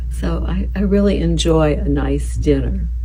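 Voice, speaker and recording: A soft-spoken woman's monotone, flat delivery over noticeable background noise. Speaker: boutique shop owner. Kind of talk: casual talk about fashion and daily routine. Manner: soft-spoken, calm.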